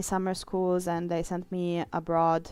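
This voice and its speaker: A woman with an Italian accent talks at a moderate pace and a medium pitch on a very clean recording with a silent background. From Italy. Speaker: streamer and illustrator. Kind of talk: casual live-stream chat. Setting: live stream while drawing.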